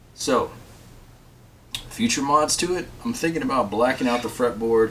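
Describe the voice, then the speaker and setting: Noticeable background noise sits behind a man's voice. His pitch is medium and his intonation is lively. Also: moderate pace. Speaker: guitar builder and video host. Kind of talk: casual tutorial chat to camera.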